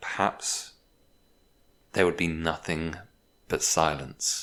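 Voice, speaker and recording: Very slow and calm, a man speaks in a very deep, low voice with a bright, sharp tone. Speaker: hypnotherapist. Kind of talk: hypnosis relaxation recording. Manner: calm, slow.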